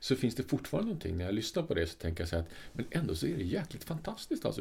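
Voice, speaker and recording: This voice belongs to a man. It carries a somewhat breathy quality. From Sweden. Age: 50s. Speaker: podcast co-host. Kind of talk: casual chat.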